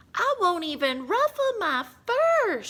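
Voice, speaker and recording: A squeaky, female-sounding put-on character voice sits at an extremely high pitch. It moves at a fairly slow pace with very wide pitch swings. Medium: read story. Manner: smug, purring.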